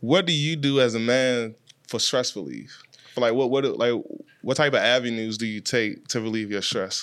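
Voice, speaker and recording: A man talks at a moderate pace with medium pitch and ordinary pitch variation. It is an unremarkable speaking voice. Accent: American. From Washington, D.C. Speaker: podcast host and music video director. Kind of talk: casual chat.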